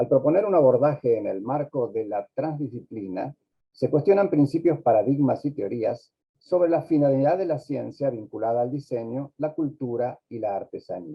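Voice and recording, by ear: A man speaks at medium pitch with a slightly husky edge. His intonation is lively. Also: moderate pace.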